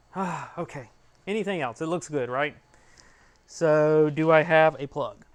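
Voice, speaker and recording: A fairly high-pitched man with an American accent at a fairly slow pace, with long, frequent pauses. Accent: Georgia (US) accent, stronger when excited. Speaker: 3D printing YouTuber. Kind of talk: live stream tutorial. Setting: garage. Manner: casual, chatty.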